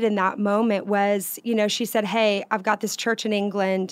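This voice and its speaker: A woman speaks in an ordinary speaking voice at a fairly high pitch and moderate pace. Her intonation is fairly even, and the recording is very clean with a silent background. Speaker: singer.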